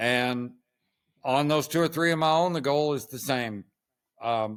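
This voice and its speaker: With a plain, everyday voice, this man speaks fairly slowly at a fairly high pitch, with ordinary pitch variation. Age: 60s. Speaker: horse trainer. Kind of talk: interview.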